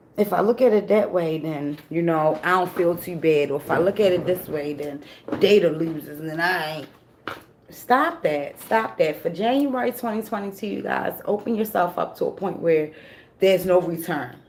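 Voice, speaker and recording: A woman speaks at a moderate pace in a fairly low voice with lively intonation, while noticeable background noise runs underneath. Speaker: tarot reader. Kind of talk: tarot reading monologue.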